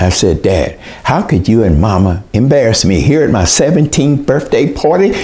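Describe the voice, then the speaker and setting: Noticeable background noise sits behind a man with an American accent. He talks at a moderate pace with very wide pitch swings. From US South, southeastern Oklahoma. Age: 80s+. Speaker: educator and author. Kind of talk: storytelling presentation.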